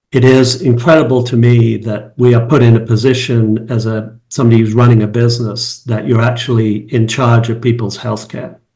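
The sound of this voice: In an American accent, a man talks at a moderate pace and a medium pitch, with little pitch movement, few pauses and a slightly mellow tone. Audible room echo surrounds his voice.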